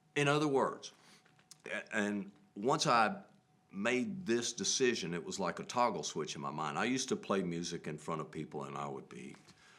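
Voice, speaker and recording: The speaker has a Southern US accent and vocal fry. The pitch swings very widely. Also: man. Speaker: musician, bandleader. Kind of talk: casual interview conversation. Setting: TV studio. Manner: chatty.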